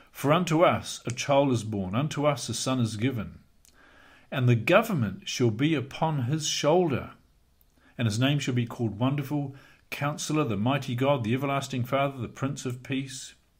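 Over a quiet background, a man speaks at a moderate pace. His voice is somewhat breathy, with ordinary pitch variation. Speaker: bible teacher. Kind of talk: lecture. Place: home room. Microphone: studio mic.

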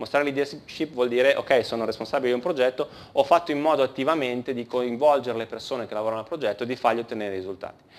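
The pitch varies in an ordinary way. A man delivers his words very rapidly. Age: 30s. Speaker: conference speaker, engineering team leader; conference speaker. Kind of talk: conference talk. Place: hall.

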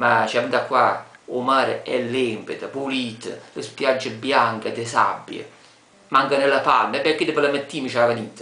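A man with a Taranto accent at a fairly slow pace, with audible room echo. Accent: Tarantino dialect. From Taranto, Apulia, Italy. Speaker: local inviting visitors to his city. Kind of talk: casual talk to camera. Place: home room. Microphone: webcam.

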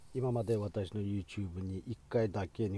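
This man has a fairly low pitch and a dark, mellow, somewhat breathy tone. His pitch variation is ordinary. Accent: Xinjiang. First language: Uyghur (speaking Japanese). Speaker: physician and medical lecturer. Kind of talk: educational talk.

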